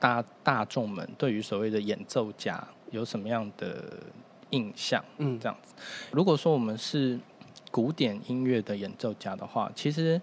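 A man with a plain, everyday voice speaks at a fairly slow pace and medium pitch, with ordinary pitch variation. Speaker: saxophonist, musician. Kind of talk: casual chat.

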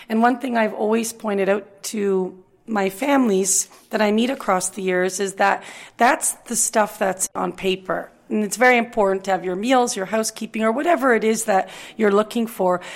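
Ordinary pitch variation marks a normal speaking voice delivered at a moderate pace. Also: woman, fairly high pitch for a woman. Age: 40s. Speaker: director at a retirement residence. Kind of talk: podcast interview.

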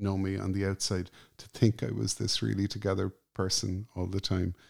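On a very clean recording with a silent background, a man with an Irish accent speaks in a fairly low pitch with a dark, mellow tone, dry and close with no echo. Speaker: journalist and musician. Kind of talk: interview conversation. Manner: calm.

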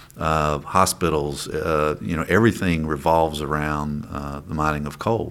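Over noticeable background noise, a man with an Appalachian accent speaks in a very deep, low voice at a moderate pace, with fairly even intonation and hardly any pauses. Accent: Appalachian Kentucky. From eastern Kentucky mountains. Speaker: state legislator. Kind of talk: interview. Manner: halting, many fillers.

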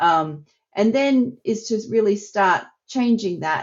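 With an Australian accent and lively intonation, a woman speaks at a very slow pace. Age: 50s. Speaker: psychology researcher. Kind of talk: interview.

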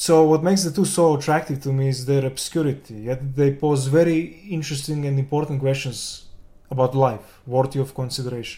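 This man speaks with a Serbian accent and a dark, mellow tone. His voice is somewhat breathy, fairly high in pitch, and fairly even in intonation. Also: fairly quick pace. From Serbia, Belgrade. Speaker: game developer and concept artist. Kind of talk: interview.

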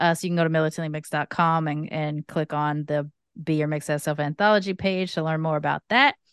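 A woman with an American accent speaks very fast in a very deep, low voice with fairly even intonation, the sound dry and close with no echo against a quiet background. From Los Angeles, US. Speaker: comedian and podcaster. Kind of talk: casual chat.

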